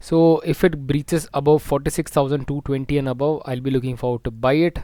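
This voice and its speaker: A soft-spoken man talks at a very fast pace, his pitch fairly high and his intonation fairly even. His tone is dark and mellow, on a very clean recording with a silent background. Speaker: stock market analyst. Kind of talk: market analysis tutorial.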